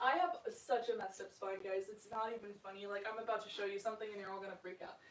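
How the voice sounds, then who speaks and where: Talking at a very fast pace, a woman of medium pitch keeps fairly even intonation but shows big swings in loudness. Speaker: stretching instructor streaming a workout. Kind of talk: guided workout instruction. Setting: live stream with chat. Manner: casual and chatty.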